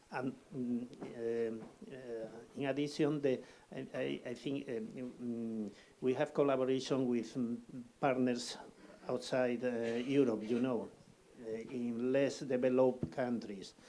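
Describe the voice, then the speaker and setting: A man with a non-native accent speaks in a dark, mellow tone at a medium pitch and fairly slow pace, with fairly even intonation and long, frequent pauses. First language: Spanish. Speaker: emergency exercise participant. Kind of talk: workshop discussion. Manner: halting.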